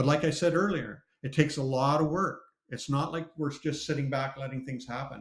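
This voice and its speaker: This man speaks with a Canadian accent at a fairly quick pace. His fairly high voice is somewhat breathy, with fairly even intonation. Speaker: ex-pastor, cartoonist. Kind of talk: live interview.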